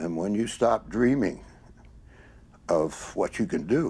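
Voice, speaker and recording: Pitched fairly low, a man with an American accent has a dark, mellow tone, vocal fry and very wide pitch swings. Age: 80s+. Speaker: triathlete. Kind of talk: interview.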